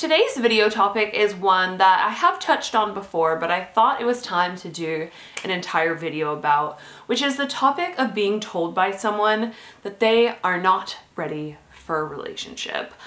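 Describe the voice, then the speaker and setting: A woman with lively intonation speaks at a moderate pace. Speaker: dating advice vlogger. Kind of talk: casual vlog chat. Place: home room.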